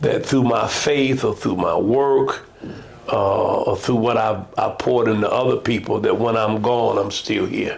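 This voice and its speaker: A man with an American accent talks at a fairly slow pace and a very even loudness, with audible room echo and noticeable background noise. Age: 70s. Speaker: pastor. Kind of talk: casual chat.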